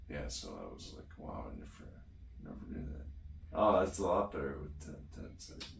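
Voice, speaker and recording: A man at a moderate pace with vocal fry, big swings in loudness, ordinary pitch variation, long, frequent pauses and audible room echo. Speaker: DBS patient vlogger. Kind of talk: casual chat.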